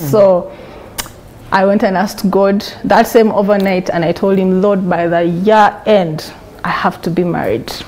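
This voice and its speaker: Noticeable background noise sits behind a woman speaking in a Ugandan accent with fairly even intonation. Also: medium pitch for a woman, fairly slow pace. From Uganda, Kampala. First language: Luganda. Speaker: interview guest sharing life story. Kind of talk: testimony.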